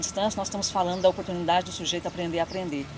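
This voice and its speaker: The woman's voice is mid-range in pitch. There is a somewhat breathy quality to it. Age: 30s. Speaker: education professor and course coordinator. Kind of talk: casual interview chat.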